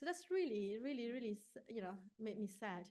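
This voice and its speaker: A woman's fairly high voice with a Malaysian accent, lively intonation and a moderate pace. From Malaysia, rural village. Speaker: neuroscience researcher. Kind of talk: conference talk.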